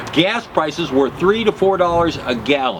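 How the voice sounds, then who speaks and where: High-pitched male voice with lively intonation, a moderate pace, and noticeable background noise. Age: 70s. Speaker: political commentator. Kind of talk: political monologue. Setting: live broadcast.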